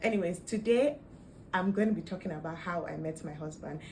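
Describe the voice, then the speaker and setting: A woman talks at a moderate pace in a somewhat breathy voice. Audible room echo surrounds the recording. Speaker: vlogger. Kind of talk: casual storytelling vlog.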